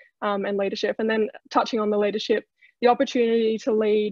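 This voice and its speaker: A woman's very fast, fairly high, monotone, flat delivery with an Australian accent, over a quiet background with a dry sound and no echo. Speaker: trainee in horse racing leadership program; panelist. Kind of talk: webinar presentation. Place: home room. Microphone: video call.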